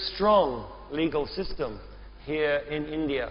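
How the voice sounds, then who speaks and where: Recorded with audible room echo, a man talks at a fairly high pitch for a man with fairly even intonation. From England (Oxford). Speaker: event moderator. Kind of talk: moderated panel discussion.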